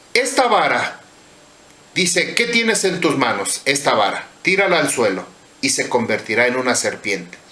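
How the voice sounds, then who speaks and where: A man talks at a fairly slow pace with fairly high pitch and very wide pitch swings, his loudness very even. Room echo and background noise are both noticeable. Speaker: religious teacher. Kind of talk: sermon.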